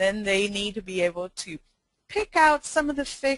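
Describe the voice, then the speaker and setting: At a moderate pace and in a Spanish accent, a woman talks with a fairly high pitch and very wide pitch swings, captured in a dry, close sound with no echo. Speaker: education consultant. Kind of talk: webinar presentation. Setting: online webinar. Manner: frequent fillers, hesitant.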